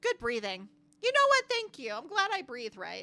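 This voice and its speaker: A woman uses a put-on character voice with a high pitch at a moderate pace. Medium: game stream. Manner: innocent, literal.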